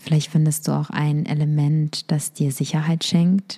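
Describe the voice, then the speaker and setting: A woman's very deep, low voice, fairly slow and monotone, calm and soothing, with a dark, mellow tone and some breathiness. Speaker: meditation guide. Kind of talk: guided meditation. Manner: slow, calm, soothing; gentle, instructive, intimate.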